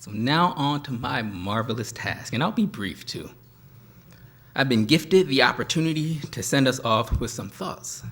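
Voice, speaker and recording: Soft-spoken, a man talks with lively intonation. His loudness swings widely. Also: medium pitch for a man, moderate pace. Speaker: professor. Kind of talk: closing speech. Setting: stage with audience.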